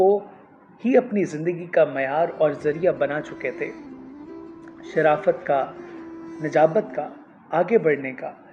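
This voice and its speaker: With a plain, everyday voice, this man speaks at a fairly high pitch for a man and shows ordinary pitch variation. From Pakistan. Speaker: radio broadcaster. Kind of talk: literary reading.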